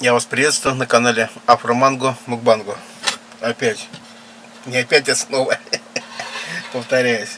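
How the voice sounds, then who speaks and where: Monotone and flat, a man speaks fairly slowly with long, frequent pauses over light background noise. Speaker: mukbang vlogger. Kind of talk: casual vlog chat. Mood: relaxed, nostalgic. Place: home room. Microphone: camera far.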